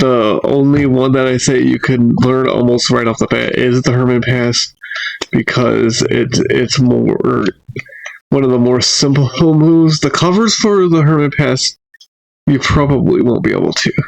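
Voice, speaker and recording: A man talks at a fairly slow pace with a medium pitch and ordinary pitch variation. His loudness stays very even. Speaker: magic tutorial creator. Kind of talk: tutorial.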